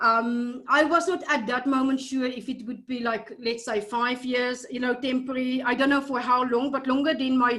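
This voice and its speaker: At a high pitch, a woman talks at a moderate pace with hardly any pauses. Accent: South African. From South Africa. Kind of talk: casual interview conversation. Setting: video call. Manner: hesitant, many fillers.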